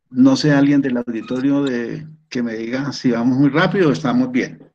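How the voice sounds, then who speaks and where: Audible room echo surrounds a man talking at a moderate pace, his medium pitch showing ordinary variation. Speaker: retired professor, systems engineer. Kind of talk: online seminar lecture. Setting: video call. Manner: halting, with repetitions.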